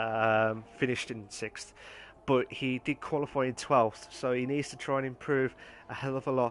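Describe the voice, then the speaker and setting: A man with an English Midlands accent speaks at a medium pitch. His delivery is moderately paced and flat, in a monotone. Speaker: sim racing league host and commentator. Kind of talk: live commentary. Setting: live stream. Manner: halting, with many fillers.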